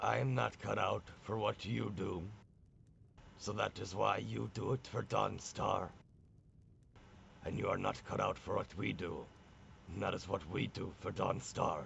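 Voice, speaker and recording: Putting on a character voice, a man speaks very deep and low with a raspy edge at a moderate pace, leaving long, frequent pauses over clear background noise. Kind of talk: old-fashioned fantasy speech. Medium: actual play. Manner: blunt, plain-spoken, archaic speech.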